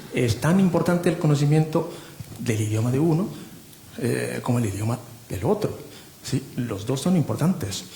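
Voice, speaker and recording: Over noticeable background noise, a man at a medium pitch speaks at a moderate pace with lively intonation and long, frequent pauses. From Japan. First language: Japanese (speaking Spanish). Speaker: literary translator. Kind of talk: panel discussion. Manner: halting.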